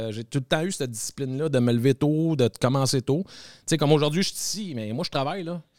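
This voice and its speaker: The recording is very clean, with a silent background. A man talks with lively intonation. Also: dry, close sound with no echo. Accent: Quebec. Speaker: TikToker. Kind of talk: casual chat.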